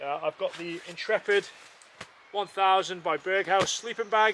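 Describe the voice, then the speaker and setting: A raised, projected voice with fairly even intonation, dry with no echo, over light background noise. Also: man. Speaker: outdoor vlogger. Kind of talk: casual vlog chat. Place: forest.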